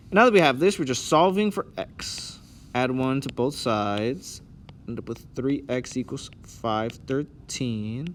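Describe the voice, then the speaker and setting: This man has an ordinary speaking voice at medium pitch, with lively intonation. He goes at a fairly slow pace. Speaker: math teacher. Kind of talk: tutorial. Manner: casual.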